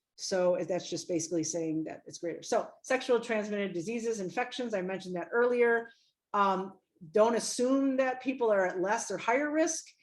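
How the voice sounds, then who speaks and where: A woman with a fairly high pitch speaks with lively intonation and big swings in loudness. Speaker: health educator and trainer. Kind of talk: online training presentation. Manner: fast.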